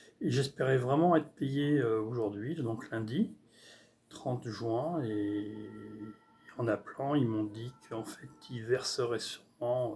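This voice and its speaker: At a very slow pace and with long, frequent pauses, a man speaks in a somewhat breathy voice with a dark, mellow tone. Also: medium pitch for a man, ordinary pitch variation. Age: 60s. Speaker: artist vlogger. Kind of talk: casual vlog monologue. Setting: at home on computer. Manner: halting, many hesitations.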